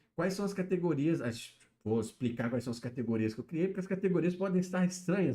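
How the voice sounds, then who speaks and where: A man speaks at a fairly quick pace in a dark, mellow, somewhat breathy tone. His pitch swings very widely. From Brazil, interior of Minas Gerais. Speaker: YouTube livestreamer, pop-culture commentator. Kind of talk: casual livestream chat. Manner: casual, filler-heavy.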